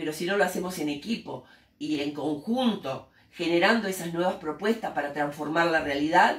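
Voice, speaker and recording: Speaking in a Rioplatense accent at a moderate pace, a woman with a fairly low pitch shows ordinary pitch variation and big swings in loudness. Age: 60s. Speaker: teacher and human rights activist. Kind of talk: interview. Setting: school interview by students.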